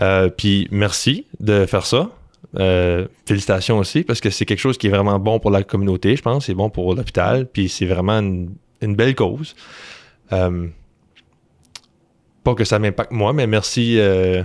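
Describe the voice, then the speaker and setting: Speaking with a slight Quebec accent, a man talks at a fairly low pitch and fairly slow pace, with ordinary pitch variation, very even loudness, and long, frequent pauses. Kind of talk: interview conversation.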